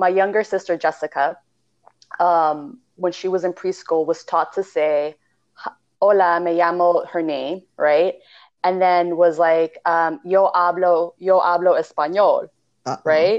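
A fairly low-pitched woman's voice with a Californian accent, fairly even intonation and a fairly slow pace. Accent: California. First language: Spanish. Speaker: podcast co-host, spiritual practitioner. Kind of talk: casual chat.

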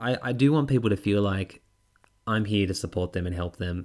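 The man has an Australian accent. His pace is fairly quick. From Tasmania, Australia. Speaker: podcast host and public speaking coach. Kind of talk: solo podcast monologue. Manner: animated.

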